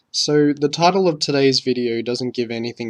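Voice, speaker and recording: A man speaks at a medium pitch with ordinary pitch variation. His is an unremarkable speaking voice. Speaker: wrestling commentator. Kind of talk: scripted opinion commentary.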